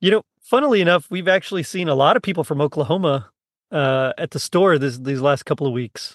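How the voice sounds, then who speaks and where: A man with an American accent and a plain, everyday voice speaks at a fairly quick pace with a fairly high pitch and lively intonation. The sound is dry and close with no echo, over a quiet background. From South Texas (Rio Grande Valley). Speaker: podcast host. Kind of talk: casual chat.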